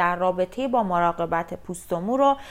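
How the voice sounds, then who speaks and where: On a very clean recording with a silent background, a woman talks at medium pitch with ordinary pitch variation. Hers is an unremarkable speaking voice. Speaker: beauty therapist, podcast host. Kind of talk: scripted podcast introduction.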